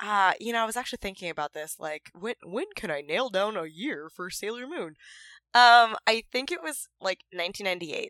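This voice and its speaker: A woman with a plain, everyday voice and lively intonation is heard on a very clean recording with a silent background. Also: dry, close sound with no echo. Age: 20s. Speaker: cosplayer. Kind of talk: casual chat.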